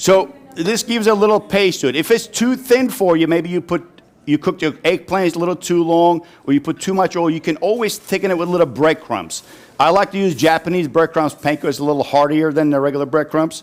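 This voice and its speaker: A man speaks at a fairly quick pace with a high pitch. His pitch rises and falls in an ordinary way. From Turkey (Istanbul). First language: Turkish. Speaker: chef. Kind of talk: cooking demonstration. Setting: live audience at a farm dinner. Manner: casual, chatty.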